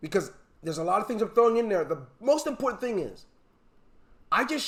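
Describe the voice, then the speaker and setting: This man's voice sits high, with lively intonation. His tone is animated. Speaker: online marketing trainer. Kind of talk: webinar training session.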